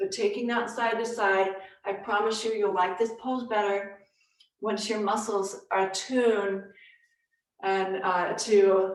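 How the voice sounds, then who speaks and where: At a fairly slow pace, a woman speaks in a medium pitch with flat, monotone intonation. Her long, frequent pauses carry audible room echo. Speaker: yoga teacher. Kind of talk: live yoga class instruction. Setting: live online class.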